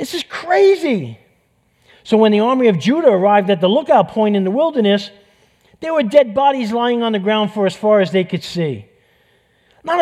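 A man in a New York accent, high-pitched and animated, his pitch swinging very widely at a moderate pace broken by long, frequent pauses. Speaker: pastor preaching a sermon. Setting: church stage, livestreamed. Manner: animated, emphatic storyteller.

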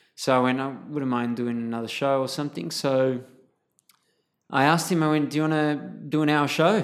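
With an Australian accent, a man speaks at a medium pitch. His pace is moderate and his pitch variation ordinary. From Sydney, southwest suburbs, Australia. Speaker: clown performer and photographer. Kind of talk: casual interview. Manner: animated, laughs often.

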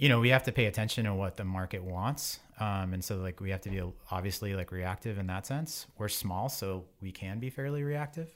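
A plain, everyday voice with an American accent, fairly quick and with hardly any pauses. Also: man, fairly low pitch for a man, ordinary pitch variation. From Boston area, Massachusetts. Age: 40s. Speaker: cycling wheel company partner. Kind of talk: casual interview.

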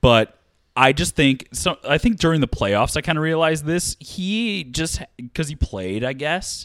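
This man has an ordinary speaking voice, fairly high in pitch, with lively intonation at a fairly slow pace. The sound is dry and close with no echo, a very clean recording with a silent background. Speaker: podcast host. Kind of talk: casual chat.

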